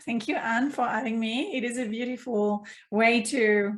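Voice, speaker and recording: A woman with a French accent speaks at a moderate pace, her fairly high voice somewhat breathy, in a very clean recording with a silent background. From France, Provence. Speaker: mindfulness coach. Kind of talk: casual interview.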